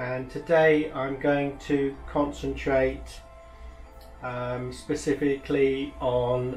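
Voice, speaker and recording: A man speaks with audible room echo around him. Faint music plays in the background. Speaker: professional decorator instructor. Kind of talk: tutorial. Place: workshop.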